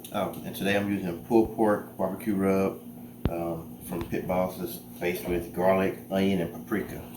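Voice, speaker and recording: Soft-spoken and very deep, a man talks at a moderate pace with lively intonation, with audible room echo and noticeable background noise. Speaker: cooking youtuber. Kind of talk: cooking tutorial. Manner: casual.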